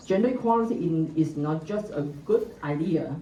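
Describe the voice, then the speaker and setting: A woman's fairly low voice comes at a very slow pace, with audible room echo and noticeable background noise. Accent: Chinese. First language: Mandarin Chinese. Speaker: government gender equality researcher, panelist. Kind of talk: conference presentation, partly read from notes. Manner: halting, with frequent fillers.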